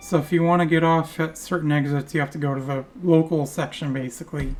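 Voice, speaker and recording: Music plays in the background as the voice moves at a fairly quick pace with fairly even intonation. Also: woman. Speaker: gaming video creator. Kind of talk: gameplay commentary. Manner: casual, rambling.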